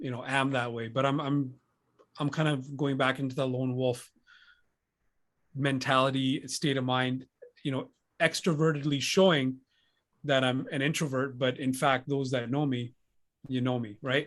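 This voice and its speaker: A man with monotone, flat intonation and long, frequent pauses. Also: medium pitch for a man, moderate pace. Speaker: podcast host. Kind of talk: casual chat.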